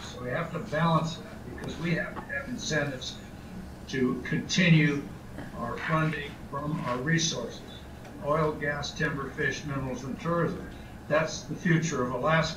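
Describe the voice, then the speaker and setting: A man talks with fairly even intonation at a moderate pace, noticeable background noise behind him. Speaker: remote guest. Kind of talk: press conference statement. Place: home room. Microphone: video call.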